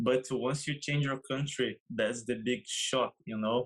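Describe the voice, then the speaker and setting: A man at a medium pitch and a fairly slow pace, with a Brazilian Portuguese accent. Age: 20s. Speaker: professional soccer player. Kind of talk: interview. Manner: halting.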